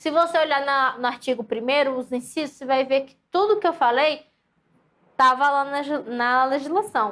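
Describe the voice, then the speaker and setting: A woman with a high-pitched voice talks in an animated tone with ordinary pitch variation. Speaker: teacher. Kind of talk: lecture.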